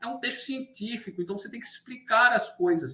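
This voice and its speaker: Speaking in a raised, projected voice, a man with a high pitch moves at a fairly quick pace through very wide pitch swings. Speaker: university lecturer. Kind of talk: lecture. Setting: online class.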